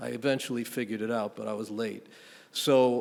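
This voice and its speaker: A man talks with a New York accent. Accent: New York City. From New York City, Riverdale (Bronx). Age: 60s. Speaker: panel moderator. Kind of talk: panel discussion.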